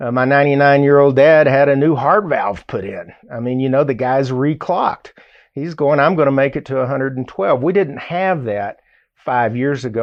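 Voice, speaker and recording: With a Southern US accent, a man talks at a fairly high pitch. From US South, Arkansas. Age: 60s. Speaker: radio host. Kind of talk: radio talk show monologue. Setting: studio. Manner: conversational, animated.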